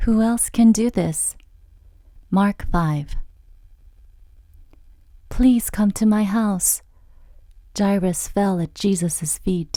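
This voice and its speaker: Very slowly and with long, frequent pauses, a woman speaks in a dark, mellow, somewhat breathy tone. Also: medium pitch for a woman, ordinary pitch variation. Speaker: voice actress. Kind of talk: children's Bible story narration.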